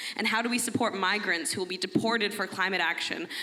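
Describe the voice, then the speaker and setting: A woman with an American accent speaks very fast at a medium pitch and with fairly even intonation, against noticeable background noise. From United States. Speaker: audience member asking a question. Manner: loud.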